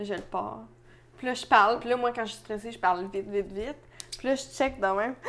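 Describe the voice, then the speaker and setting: A woman with a Quebec accent talks at a very fast pace, her pitch fairly high with ordinary variation. Noticeable background noise is present. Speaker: podcast co-host. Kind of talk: casual chat.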